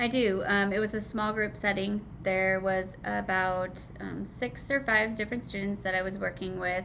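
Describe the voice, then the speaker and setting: A woman's medium-pitched voice, bright and sharp in tone, at a moderate pace with fairly even intonation, hardly any pauses, and audible room echo. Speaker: special education teacher. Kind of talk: teaching observation reflection interview.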